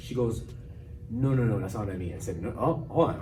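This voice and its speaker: With music in the background and audible room echo, a man speaks using lively intonation. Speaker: podcast host. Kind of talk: casual chat. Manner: fast; articulate.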